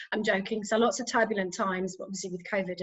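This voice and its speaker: In a British accent, a woman speaks at medium pitch with monotone, flat intonation. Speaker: pharma executive. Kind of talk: panel discussion.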